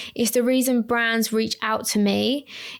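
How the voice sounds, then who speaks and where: The voice carries an Essex accent. Its pace is moderate. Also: woman. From Essex, England. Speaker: lash artist and trainer, podcast host. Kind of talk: solo podcast talk. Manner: casual, tangential.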